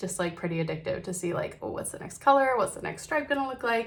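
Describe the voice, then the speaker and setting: A woman's lively intonation over noticeable background noise. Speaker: knitting podcaster. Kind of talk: casual chat.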